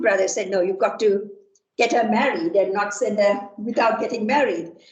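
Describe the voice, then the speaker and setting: There is audible room echo as a woman with a fairly high voice speaks at a fairly quick pace. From Sri Lanka. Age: 60s. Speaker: computer science professor. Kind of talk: lecture. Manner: halting, many fillers.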